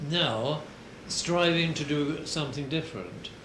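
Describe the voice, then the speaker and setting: Noticeable background noise sits behind a man speaking at a fairly slow pace and fairly high pitch. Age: 80s+. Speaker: war veteran. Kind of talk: interview answer.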